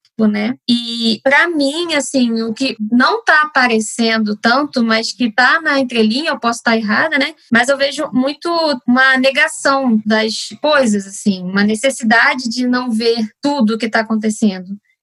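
High-pitched female voice at a moderate pace, bright and sharp in tone, with ordinary pitch variation, hardly any pauses and a dry, close sound with no echo. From Rio de Janeiro. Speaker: family doctor. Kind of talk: casual discussion.

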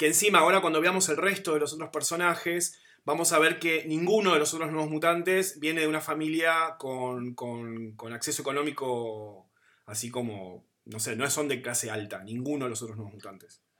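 The speaker has an Argentine accent, a bright, sharp tone and a moderate pace. The intonation is lively, with big swings in loudness. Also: man, fairly high pitch for a man. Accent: Argentine Spanish (Rioplatense). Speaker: podcast host. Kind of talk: casual chat. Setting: video call.

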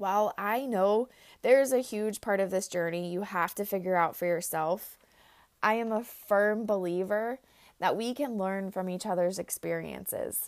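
A woman at medium pitch talks at a moderate pace, her pitch varying in an ordinary way. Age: 20s. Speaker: podcast host, chronic illness coach. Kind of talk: solo podcast monologue.

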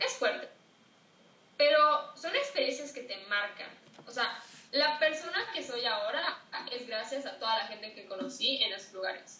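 In a Yucatecan accent, the speaker talks at a moderate pace with lively intonation, big swings in loudness, and long, frequent pauses, all with audible room echo. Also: woman, high pitch for a woman. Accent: Yucatecan Spanish, noticeable. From Mexico, Yucatán. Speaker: TikTok creator and author. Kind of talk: casual interview. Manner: clipped Yucatecan delivery.

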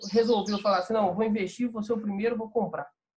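A man's voice, high in pitch. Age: 20s. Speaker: ad agency owner and entrepreneur. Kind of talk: casual interview chat.

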